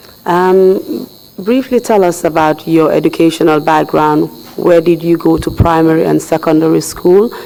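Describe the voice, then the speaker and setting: Against noticeable background noise, a man speaks at a moderate pace in a high pitch, with very even loudness and fairly even intonation. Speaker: commission counsel. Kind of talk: formal hearing questioning. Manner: formal. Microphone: echo.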